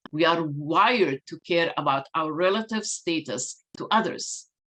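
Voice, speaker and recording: A woman with a fairly low pitch and lively intonation speaks at a fairly slow pace. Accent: non-native. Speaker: diversity and inclusion speaker. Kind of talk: keynote talk.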